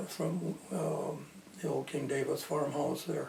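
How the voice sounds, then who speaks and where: A man talks in an American accent while noticeable noise runs in the background. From Belmont, Michigan, USA. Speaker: local historian, former Marine. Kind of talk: oral history interview answer.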